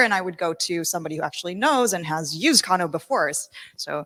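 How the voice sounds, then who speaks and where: Bright and sharp in tone, a woman's fairly low voice runs at a fairly quick pace, with a dry, close sound and no echo. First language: not English. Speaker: workshop participant. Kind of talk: group presentation. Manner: casual.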